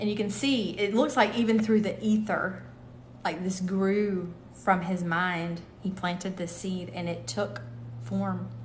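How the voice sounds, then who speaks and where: A woman's medium-pitched voice with lively intonation, a fairly slow pace and audible room echo. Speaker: tarot reader and livestream host. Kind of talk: live stream chat and card reading. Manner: casual, halting.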